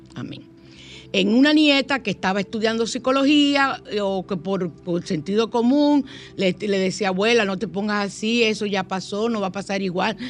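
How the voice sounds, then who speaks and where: A woman with lively intonation, medium pitch and a moderate pace against a quiet background. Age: 60s. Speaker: radio host. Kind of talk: spiritual talk radio show. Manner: animated.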